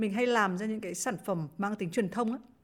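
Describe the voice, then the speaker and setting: The woman has a plain, everyday voice and ordinary pitch variation. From Vietnam, Hai Phong. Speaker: former radio presenter and journalist. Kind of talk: podcast interview, casual chat. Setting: remote online recording.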